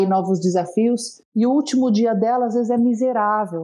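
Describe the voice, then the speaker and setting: Her voice has a dark, mellow tone, and this woman's pitch sits fairly high. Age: 30s. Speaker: alumni relations leader. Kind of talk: interview conversation. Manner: animated.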